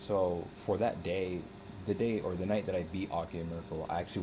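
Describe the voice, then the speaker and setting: A man's very deep, low voice with fairly even intonation. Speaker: gaming streamer. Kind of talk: live stream commentary. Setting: live stream at computer. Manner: halting, self-interrupting; fast casual filler-heavy.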